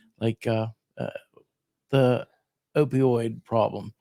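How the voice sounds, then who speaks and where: In a western Pennsylvania accent, a man speaks with a dry, close sound that has no echo. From southwestern Pennsylvania, Fayette County. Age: 60s. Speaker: radio host and county commissioner candidate. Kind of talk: casual interview.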